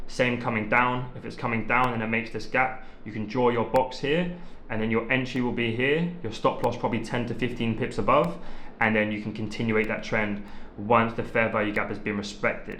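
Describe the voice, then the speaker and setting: A man speaks with a bright, sharp tone. Room echo is audible. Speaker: trading content creator. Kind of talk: tutorial. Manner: fast; casual, many filler ums.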